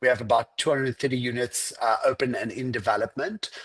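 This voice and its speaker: This man talks at a fairly quick pace with an American accent. The sound is dry and close with no echo, over a quiet background. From South Africa, Cape Town. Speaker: fitness franchise executive. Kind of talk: podcast interview.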